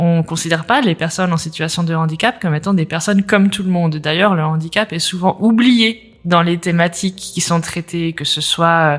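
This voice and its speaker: Here is a woman with an unremarkable speaking voice, talking at a moderate pace with hardly any pauses. Her pitch is fairly low, with ordinary variation. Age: 30s. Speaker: entrepreneur and accessibility coach. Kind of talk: interview.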